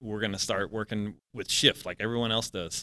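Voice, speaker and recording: Words come fairly quickly. The voice has a bright, sharp tone. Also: man. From US South, New Orleans. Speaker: retired air force veteran. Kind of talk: casual chat.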